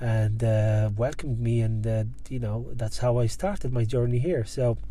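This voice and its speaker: A man with a North African accent speaks at a moderate pace and very even loudness, with audible room echo. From Algeria. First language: Berber. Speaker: guest sharing immigrant career story. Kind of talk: casual interview chat. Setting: car park in Dublin.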